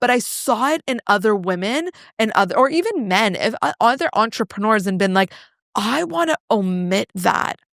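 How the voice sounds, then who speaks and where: Loud and fairly high in pitch, a woman's voice moves in very wide pitch swings. The sound is dry and close, without echo. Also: moderate pace. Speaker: personal branding coach and entrepreneur. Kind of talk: podcast interview.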